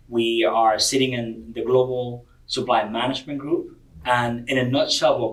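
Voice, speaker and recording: A man with a Spanish accent at a fairly quick pace. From Cuba. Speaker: corporate diversity director. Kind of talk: podcast interview. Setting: convention venue.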